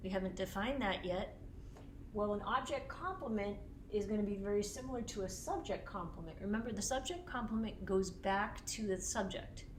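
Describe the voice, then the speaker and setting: Fairly high-pitched woman's voice with an American accent at a fairly quick pace, ordinary pitch variation, noticeable background noise and audible room echo. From US Northeast, Boston. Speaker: teacher. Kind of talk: lecture.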